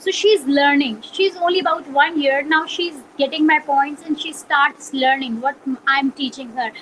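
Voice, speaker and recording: With noticeable background noise, a woman with a Pakistani Punjabi accent speaks at a moderate pace in a high pitch with ordinary pitch variation. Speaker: journalist. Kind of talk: interview. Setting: video call.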